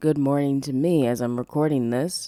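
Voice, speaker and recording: A woman speaks in a relaxed tone, her voice dark and mellow. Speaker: podcast host; aspiring voice actress. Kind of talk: podcast intro. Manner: relaxed, casual.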